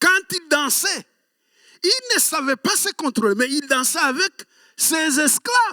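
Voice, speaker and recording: In a dry, close sound with no echo, a man projects a raised voice at an extremely high pitch with a bright, sharp tone and very wide pitch swings, speaking very slowly with long, frequent pauses. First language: Kinyarwanda (speaking French). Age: 60s. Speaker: pastor. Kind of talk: sermon.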